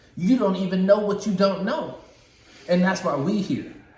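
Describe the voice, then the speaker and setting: A man speaks at a moderate pace with a high pitch and an animated tone. Noticeable background noise and audible room echo fill the recording. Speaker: podcast co-host. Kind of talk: casual chat.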